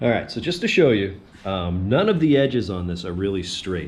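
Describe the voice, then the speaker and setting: Talking at a fairly quick pace, a man with a fairly low pitch is heard with audible room echo. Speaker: woodworking YouTuber. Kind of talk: tutorial. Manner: casual with many fillers.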